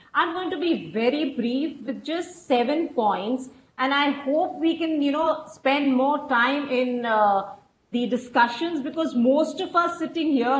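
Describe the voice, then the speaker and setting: A woman with a high pitch and ordinary pitch variation talks at a fairly slow pace, with audible room echo and light background noise. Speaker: researcher; webinar panelist. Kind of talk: panel discussion. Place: home room. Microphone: earbuds.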